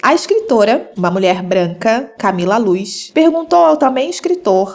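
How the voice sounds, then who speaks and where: A woman talks at a moderate pace in a fairly high pitch. Noticeable background noise runs underneath. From Rio de Janeiro, Brazil. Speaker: podcast host. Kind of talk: podcast monologue essay.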